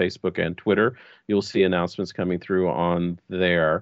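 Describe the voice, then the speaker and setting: A very deep, low-pitched male voice with an American accent. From Texas, US. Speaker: LARP designer and event organizer. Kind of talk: casual chat.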